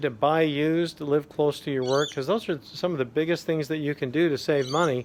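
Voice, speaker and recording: A normal speaking voice talks at a moderate pace. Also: man. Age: 60s. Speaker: personal finance vlogger. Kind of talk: casual advice talk to camera. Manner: relaxed, many filler uhs.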